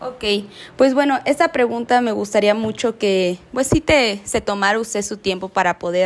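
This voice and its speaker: A woman with an ordinary speaking voice, ordinary pitch variation and a fairly slow pace. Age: young. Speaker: student interviewer. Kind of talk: interview.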